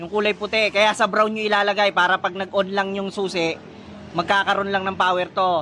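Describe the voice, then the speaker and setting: A man shouting in a raised, projected voice at a moderate pace, with noticeable background noise. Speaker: motorcycle DIY vlogger. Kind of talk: tutorial. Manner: loud, nearly shouting; casual, halting.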